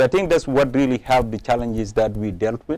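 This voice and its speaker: A man with an African accent speaks in a dark, mellow tone with ordinary pitch variation. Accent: African accent, somewhat improved. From Gambia. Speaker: politician. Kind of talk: interview. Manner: halting.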